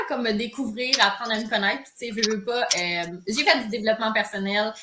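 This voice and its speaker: An unremarkable speaking voice from a woman, fairly high in pitch, at a moderate pace with ordinary pitch variation. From Quebec, Saint-Hyacinthe area. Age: 30s. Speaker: yoga teacher. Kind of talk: casual chat. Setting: livestream video.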